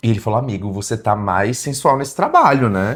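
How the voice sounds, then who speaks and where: In a very clean recording with a silent background, a man speaks with a northeastern Brazilian accent. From Brazil, Pernambuco. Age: 40s. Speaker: singer-songwriter. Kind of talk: interview.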